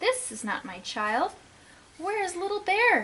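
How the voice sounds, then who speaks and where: A woman puts on a character voice at an extremely high pitch. She raises and projects it, speaking at a fairly slow pace. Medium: read story.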